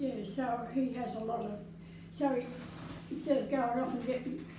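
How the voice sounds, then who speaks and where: Here a woman speaks with an Australian accent. Her pitch is high and her pace moderate. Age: 80s+. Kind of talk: interview answer.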